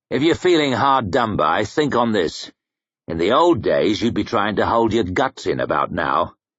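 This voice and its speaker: Doing a put-on character voice, a man growls at a medium pitch and a moderate pace, his pitch swinging very widely. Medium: read story. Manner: blunt, rough.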